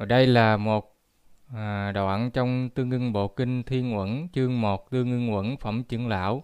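The man has a normal speaking voice with medium pitch. He keeps a moderate pace and fairly even intonation. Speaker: Buddhist lecturer. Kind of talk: lecture.

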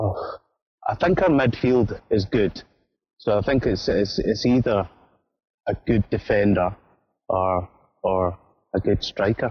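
Speaking in a Scottish accent, a man with a fairly low, somewhat breathy voice goes at a fairly slow pace with long, frequent pauses, ordinary pitch variation and very even loudness. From Scotland. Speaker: football fan, show patron. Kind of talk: casual chat.

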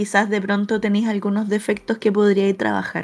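A woman speaks in a Chilean accent. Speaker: podcast co-host. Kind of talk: casual chat.

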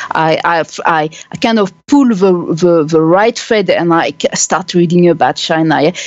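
A woman with a French accent speaks at a fairly slow pace. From France. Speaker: human rights activist and blogger. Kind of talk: interview. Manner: halting.

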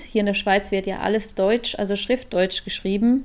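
Her voice fairly high, a woman speaks with fairly even intonation. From Switzerland. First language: Swiss German (speaking German). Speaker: podcast co-host. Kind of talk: casual chat.

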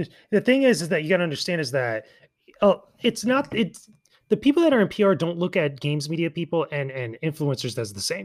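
A man with an East Coast US accent and a high pitch talks at a fairly quick pace, with very wide pitch swings and long, frequent pauses. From US East Coast. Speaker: YouTuber and games media content creator. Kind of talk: casual chat.

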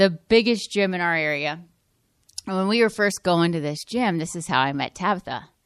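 A woman speaks in a plain, everyday voice at a fairly low pitch and a moderate pace. The background is quiet. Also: ordinary pitch variation. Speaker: podcast host. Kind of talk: casual chat.

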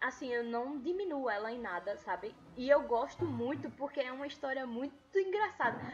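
A woman with a high pitch and lively intonation talks at a moderate pace while noticeable background noise is heard. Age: 20s. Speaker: podcast host. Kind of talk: casual chat.

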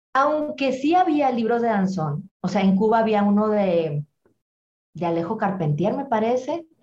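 A woman with an ordinary speaking voice talks at a fairly slow pace, her fairly high pitch rising and falling with lively intonation. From Monterrey, northern Mexico. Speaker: dance promoter. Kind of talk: interview.

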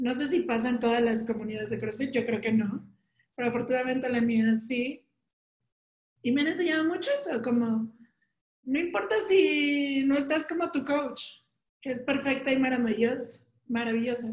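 Pausing long and often, a woman with a Mexican accent speaks at a moderate pace in a high pitch with ordinary pitch variation. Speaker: podcast co-host. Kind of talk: casual chat.

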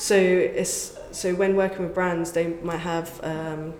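In an English accent, a woman talks at a fairly slow pace with a fairly low pitch and a monotone, flat intonation, with audible room echo and noticeable background noise. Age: 30s. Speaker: content creator. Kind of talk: interview.

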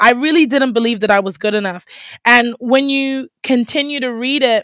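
In a dry, close recording with no echo, a woman with a plain, everyday voice talks at a moderate pace and a fairly high pitch with ordinary pitch variation. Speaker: podcast host. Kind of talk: faith-based solo podcast talk.

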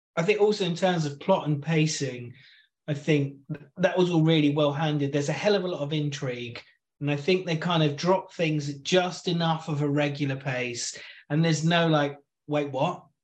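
Speaking at a moderate pace, a man uses a fairly high pitch and fairly even intonation, his voice somewhat breathy. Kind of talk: casual chat. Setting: remote recording.

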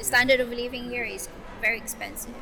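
A high-pitched woman's voice with a Filipino accent, audible room echo and music in the background. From Philippines. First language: Tagalog. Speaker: entrepreneur and mother. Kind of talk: interview. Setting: on location in Abu Dhabi.

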